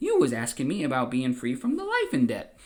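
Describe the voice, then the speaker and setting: Using a put-on character voice, a man talks at a fairly quick pace in a high pitch. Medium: read story. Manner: naive, bumbling, simple-minded.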